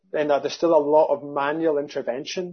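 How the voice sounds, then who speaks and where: The speaker has a Scottish accent and talks at a moderate pace. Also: man. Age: 50s. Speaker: accountant and business founder. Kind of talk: casual interview chat.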